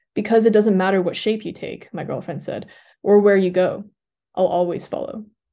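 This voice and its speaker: Against a quiet background, a woman with a dark, mellow tone speaks at a moderate pace and medium pitch, with fairly even intonation. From Switzerland. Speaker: doctoral student, writer and magazine editor. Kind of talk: casual interview. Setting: studio. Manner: heavy use of filler words.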